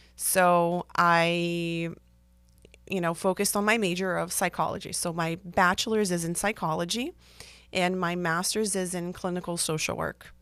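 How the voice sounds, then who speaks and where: A woman speaks with a Portuguese accent in a fairly low voice. Her intonation is flat and monotone at a moderate pace. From Brazil. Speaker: therapist. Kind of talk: podcast monologue. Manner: casual with frequent fillers.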